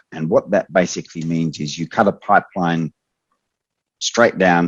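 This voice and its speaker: The speaker is a man whose pitch is very deep and low. He keeps a moderate pace. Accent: Australian. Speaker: expert trainer. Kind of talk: online training Q&A.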